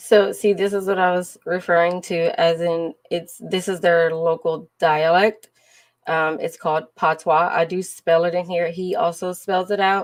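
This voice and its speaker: A woman with a Southern US accent speaks in a flat monotone at a fairly low pitch. Her pace is fairly slow, on a very clean recording with a silent background. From Louisiana. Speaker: live streamer sharing travel. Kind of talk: casual livestream chat.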